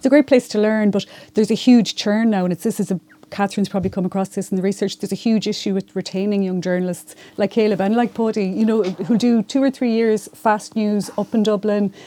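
A woman with a Mayo accent talks at a very fast pace, her fairly high voice dark and mellow in tone. Her intonation is fairly even, and the sound is dry and close with no echo. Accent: Irish, Mayo. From Ireland, County Mayo. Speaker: local newspaper journalist. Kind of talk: panel discussion. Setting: university room.

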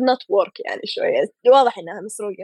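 The recording is dry and close, without any echo. A woman speaks fairly quickly. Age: 20s. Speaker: illustrator. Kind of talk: casual chat.

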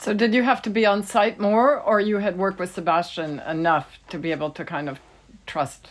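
Delivered in a plain, everyday voice, the speech runs at a fairly quick pace with lively intonation. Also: woman. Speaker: podcast co-host and editor. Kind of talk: scripted intro and interview questions.

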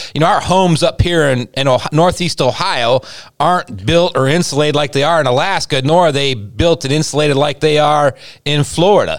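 Using a plain, everyday voice, a man talks at a fairly quick pace, pitched fairly high, with ordinary pitch variation and very even loudness. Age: 50s. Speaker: pastor and podcast co-host. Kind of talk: casual chat.

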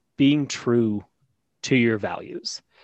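This man has an ordinary speaking voice, pitched at a medium level with ordinary pitch variation. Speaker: podcast host. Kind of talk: casual interview.

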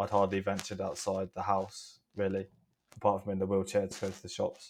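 A man speaks with a fairly low pitch in a southeast English accent. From southeast England. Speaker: wellbeing entrepreneur and speaker. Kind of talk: casual interview chat.

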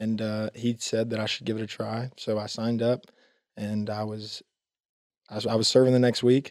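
With a monotone, flat intonation, a man speaks at a medium pitch. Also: moderate pace. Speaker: young church member. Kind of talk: testimony. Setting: studio.

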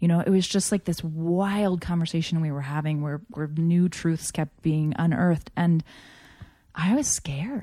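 Over a silent background in a very clean recording, a woman with an American accent speaks in a dark, mellow tone. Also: fairly low pitch for a woman, ordinary pitch variation, moderate pace. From Japan (Tokyo), American missionary family. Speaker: interview guest. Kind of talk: casual chat.

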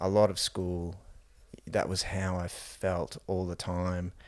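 A man with an Australian accent, very deep and low in pitch, very slow and monotone in a flat delivery. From Queensland, Australia (New Zealand-born). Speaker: emergency physician and entrepreneur. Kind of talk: casual chat.

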